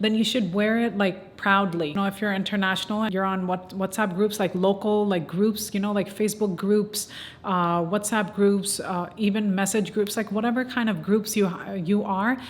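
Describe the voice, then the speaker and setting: A woman speaks at a moderate pace in a flat, monotone delivery. Noticeable background noise runs underneath. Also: medium pitch for a woman. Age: 20s. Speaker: small business owner. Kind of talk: casual talk to camera. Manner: casual, conversational.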